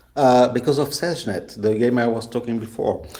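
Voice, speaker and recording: Moderately paced speech from a man, with noticeable noise in the background. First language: not English. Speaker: game creator. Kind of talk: interview. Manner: halting.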